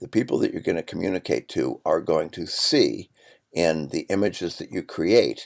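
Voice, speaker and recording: In a very clean recording with a silent background and a dry, close sound free of echo, a man with an American accent talks at a moderate pace. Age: 60s. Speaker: professor. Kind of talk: lecture. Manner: hesitant with fillers.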